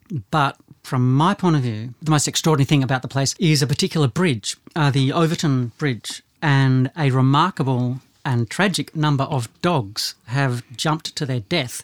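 In a plain, everyday voice at a moderate pace with ordinary pitch variation, the speech has a dry, close sound with no echo on a very clean recording with a silent background. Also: man. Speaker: podcast host. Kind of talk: casual podcast discussion.

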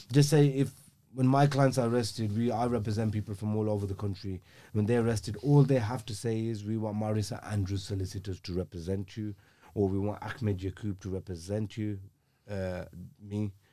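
A man speaks in a Birmingham accent at a fairly quick pace. His fairly low pitch follows fairly even intonation. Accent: Birmingham (Brummie) English. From Birmingham, England (Aston). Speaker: criminal defence legal professional. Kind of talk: casual interview chat.

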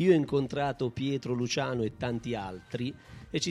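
The speech comes at a moderate pace, with music playing in the background. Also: man. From Basilicata, Italy (Baragiano). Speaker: association president. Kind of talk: public speech at event. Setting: outdoor stage in town square.

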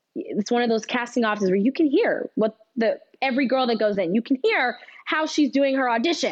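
A woman with an American accent speaks at a fairly quick pace in a high voice, her intonation lively and her loudness very even. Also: dry, close sound with no echo. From California, Bakersfield. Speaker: actress. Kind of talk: casual chat.

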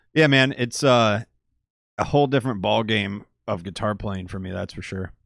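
Moving at a moderate pace, a man with an unremarkable speaking voice talks at a fairly low pitch with ordinary pitch variation. The recording is very clean, the background silent. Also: big swings in loudness. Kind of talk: casual chat. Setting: live stream studio.

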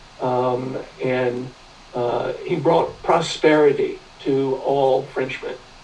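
In an American accent, a man speaks very slowly in a room with audible echo. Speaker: history professor. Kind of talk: interview. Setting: video call. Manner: halting.

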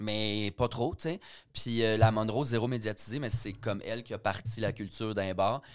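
In a very clean recording with a silent background, a man with a plain, everyday voice speaks at a moderate pace and fairly even intonation. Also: medium pitch for a man. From Quebec, Richelieu valley. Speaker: comedian and drag queen. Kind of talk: casual chat.

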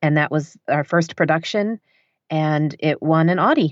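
The speaker has a Michigan accent. The intonation stays fairly even. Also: woman. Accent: general American, Michigan. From northern Michigan. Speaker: audiobook narrator and writer. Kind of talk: casual interview chat. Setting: home basement studio, remote recording.

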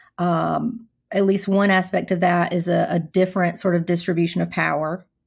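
A somewhat breathy woman at a fairly slow pace, monotone and flat in intonation, in a very clean recording with a silent background. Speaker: podcast host and counselor. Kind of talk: interview.

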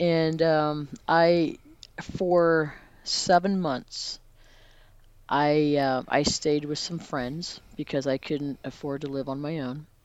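In a Midwestern American accent, a woman speaks very slowly in a very deep, low voice with fairly even intonation. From Missouri, Raytown/Independence area. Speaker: former church member sharing faith journey. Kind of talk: interview testimony.

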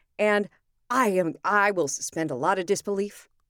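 A woman with an American accent speaks in a plain, everyday voice at a moderate pace. Her pitch is fairly high, and the recording is very clean with a silent background. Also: dry, close sound with no echo. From California. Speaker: podcast host, actor and voice artist. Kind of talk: casual chat.

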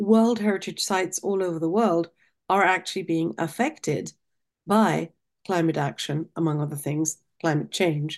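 A woman speaks with a non-native accent at a moderate pace. Her pitch varies in an ordinary way against a quiet background. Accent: foreign accent, noticeable. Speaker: nonprofit president, guest. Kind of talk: interview, professional conversation.

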